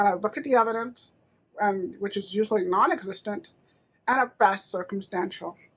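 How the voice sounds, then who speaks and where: A woman's bright, sharp tone at a fairly high pitch with lively intonation. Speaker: motivational speaker and show host. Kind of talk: solo live-stream talk. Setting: Facebook live video. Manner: occasionally stumbles over words.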